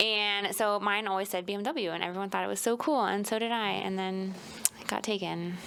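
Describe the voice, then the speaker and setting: A woman with an American accent and an ordinary speaking voice speaks in a medium pitch at a fairly quick pace, her intonation fairly even. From Florida. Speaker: podcast co-host. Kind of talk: casual chat.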